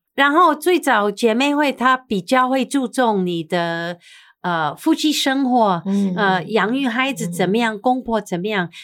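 A woman with an English accent speaks at a fairly high pitch with very wide pitch swings, in a very clean recording with a silent background. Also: fairly slow pace. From US, New York. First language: English (speaking Chinese). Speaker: TV personality. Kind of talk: interview.

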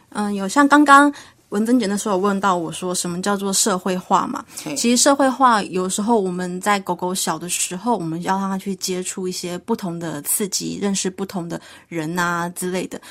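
The speaker talks at a moderate pace with ordinary pitch variation against noticeable background noise. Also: woman, medium pitch for a woman. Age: young. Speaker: pet trainer. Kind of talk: radio interview.

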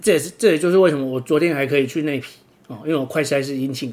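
Here a man speaks with a Taiwanese accent. His voice is fairly high, with ordinary pitch variation. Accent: Taiwanese Mandarin. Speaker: podcast host and kitesurfer. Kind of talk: casual monologue. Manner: filler-heavy, frequent 'o' particles.

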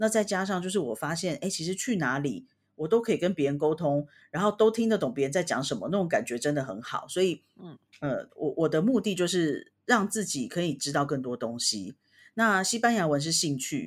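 A woman with a fairly low pitch talks at a fairly quick pace, her voice making very wide pitch swings. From Taiwan, Taipei. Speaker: podcast co-host, language learner. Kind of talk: casual chat.

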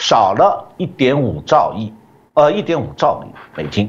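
With vocal fry, the voice moves through very wide pitch swings at a fairly slow pace. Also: man. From China. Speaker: economist. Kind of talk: interview analysis.

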